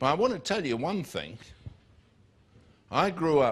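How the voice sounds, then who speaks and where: Speaking with a southern English accent, a man lets his voice make very wide pitch swings. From southern England, near Biggin Hill. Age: 60s. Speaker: preacher. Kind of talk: sermon. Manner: animated.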